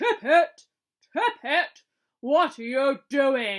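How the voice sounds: A put-on character voice with a high pitch moves at a very slow pace.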